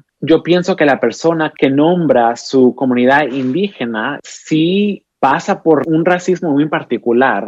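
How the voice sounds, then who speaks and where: At a very slow pace with hardly any pauses, a man speaks at a fairly high pitch with ordinary pitch variation and very even loudness. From Oaxaca coast, Mexico. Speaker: poet and writer. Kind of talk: interview conversation.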